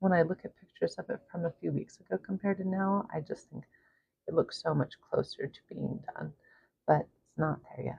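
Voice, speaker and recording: Soft-spoken, a woman talks at a moderate pace. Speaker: art vlogger. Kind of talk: casual painting vlog talk. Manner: soft-spoken, quiet.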